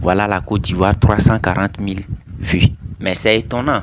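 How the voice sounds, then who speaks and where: Against noticeable background noise, a man talks at a moderate pace in a fairly low pitch with fairly even intonation. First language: not French (speaking French). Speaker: YouTuber commentator. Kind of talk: casual video commentary.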